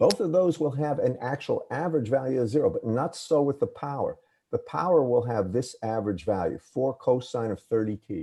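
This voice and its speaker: With an American accent, a man of medium pitch talks at a fairly quick pace in a dark, mellow, somewhat breathy tone with lively intonation. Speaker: engineering professor. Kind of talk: lecture. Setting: video call.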